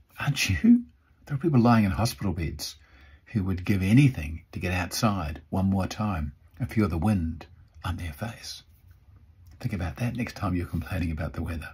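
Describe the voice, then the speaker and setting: With lively intonation and a somewhat breathy, very deep, low voice, a man speaks at a moderate pace, leaving long, frequent pauses. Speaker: motivational speaker. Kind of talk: motivational vlog talk. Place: home room. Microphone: phone near.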